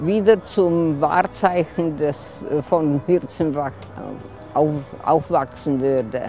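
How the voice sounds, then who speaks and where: A woman speaks at a very slow pace with ordinary pitch variation, in a dry sound with no echo and faint music in the background. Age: 80s+. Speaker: local resident telling a story. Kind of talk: personal story told at a community event. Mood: wistful, nostalgic. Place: open country.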